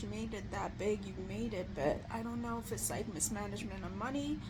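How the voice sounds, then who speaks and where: Noticeable background noise fills the recording, along with audible room echo. Through it, a woman talks. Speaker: vlogger. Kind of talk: casual chat. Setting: lying in bed at home. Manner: halting, many fillers.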